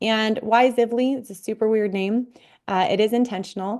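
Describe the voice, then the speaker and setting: A woman with a Midwestern US accent speaks with ordinary pitch variation. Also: quiet background. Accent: US Midwest. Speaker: physical therapist and health coach. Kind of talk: online workshop presentation.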